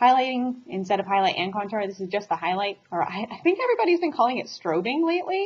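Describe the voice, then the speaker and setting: A woman speaks very fast with lively intonation, sounding somewhat breathy. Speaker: beauty vlogger. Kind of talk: makeup tutorial. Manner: casual, chatty.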